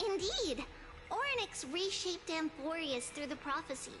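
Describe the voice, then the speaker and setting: Clear background noise sits behind a put-on character voice. The pace is moderate. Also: woman. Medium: game stream. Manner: warm, playful, speaks in plural.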